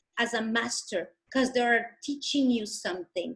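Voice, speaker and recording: A woman with a non-native accent speaks at a fairly high pitch and fairly slow pace. Her pitch varies in an ordinary way. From Dominican Republic. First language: Spanish. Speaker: healer and coach. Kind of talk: interview. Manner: animated.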